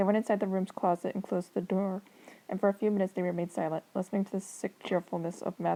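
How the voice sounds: The clip carries a natural reading voice. That is what it offers.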